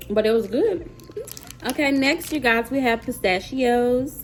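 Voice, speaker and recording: Music plays in the background as a woman speaks in a high voice with an American accent. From US South, Mississippi. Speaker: YouTuber, mom. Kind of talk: casual vlog, taste test. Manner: animated.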